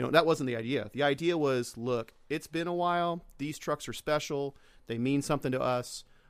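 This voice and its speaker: A man speaks in an unremarkable speaking voice with an American accent and ordinary pitch variation. The recording is very clean, with a silent background. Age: 40s. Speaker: automotive media producer. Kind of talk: casual chat. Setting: studio.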